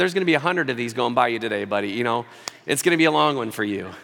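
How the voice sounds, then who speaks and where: With an American accent, a man talks at a very fast pace over noticeable background noise. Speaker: pastor. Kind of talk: sermon. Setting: church.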